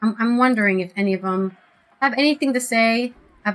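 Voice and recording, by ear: Someone reads aloud in a natural voice. The pitch varies an ordinary amount.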